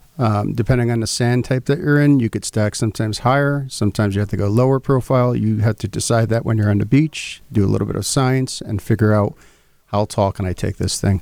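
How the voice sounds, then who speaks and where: A man with an American accent talks at a very fast pace in a medium pitch with ordinary pitch variation, on a very clean recording with a silent background. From Connecticut. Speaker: inventor pitching his product. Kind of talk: business pitch.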